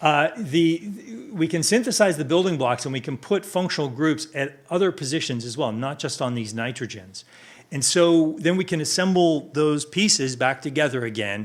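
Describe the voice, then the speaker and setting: Speaking at a moderate pace, a man uses lively intonation at a fairly high pitch. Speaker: chemistry professor. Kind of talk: conference presentation. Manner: halting with many fillers and restarts.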